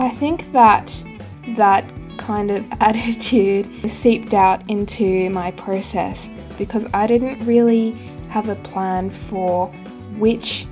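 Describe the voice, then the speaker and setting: A medium-pitched female voice with fairly even intonation, music in the background. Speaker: artist. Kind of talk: casual voice-over narration. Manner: carefully recorded, not very fluent diction.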